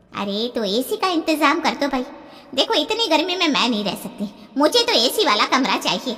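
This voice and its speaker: A woman's cartoonish character voice, high-pitched with very wide pitch swings, at a moderate pace. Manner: complaining, bossy, dramatic.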